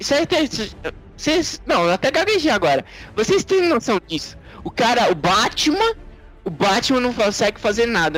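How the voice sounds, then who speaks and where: With music in the background, a man talks at an extremely high pitch with very wide pitch swings. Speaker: podcast co-host. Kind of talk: casual chat.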